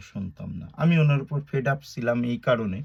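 A man's voice, dark and mellow in tone and somewhat breathy, moves with lively intonation. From Bangladesh, Gopalganj (Tungipara). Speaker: YouTuber, political commentator. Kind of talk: political monologue vlog. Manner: animated, colloquial.

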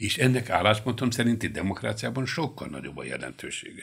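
Quiet background behind a man's voice. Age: 70s. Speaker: lawyer. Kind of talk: radio interview discussion. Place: studio. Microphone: studio mic.

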